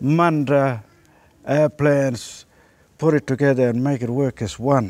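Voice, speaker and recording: Someone speaks at a fairly slow pace with ordinary pitch variation, and the sound is dry with no echo. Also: man, fairly high pitch for a man. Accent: Western Australian. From Goldfields region of Western Australia. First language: Ngaanyatjarra. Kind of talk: personal testimony to camera. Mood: earnest, proud. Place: open country.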